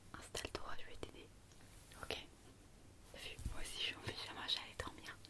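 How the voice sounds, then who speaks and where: Whispering with long, frequent pauses, a woman speaks over noticeable background noise. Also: moderate pace. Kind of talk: ASMR role play, talking to listener at bedtime. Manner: whispered; soft-spoken.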